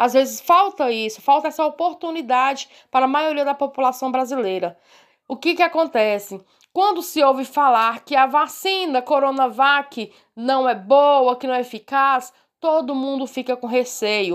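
A woman with a high pitch and ordinary pitch variation speaks at a moderate pace on a very clean recording with a silent background. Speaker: health professional. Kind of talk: interview. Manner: halting.

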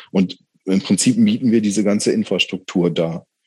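The speaker is a man. His tone is dark and mellow. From northern Germany, Bremen. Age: 40s. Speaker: undertaker. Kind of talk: casual chat.

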